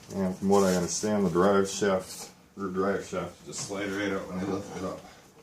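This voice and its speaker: The intonation is monotone and flat, and the pace is moderate. Noticeable background noise and audible room echo fill the recording. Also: man, fairly low pitch for a man. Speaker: DIY mechanic. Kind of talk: tutorial. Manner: casual.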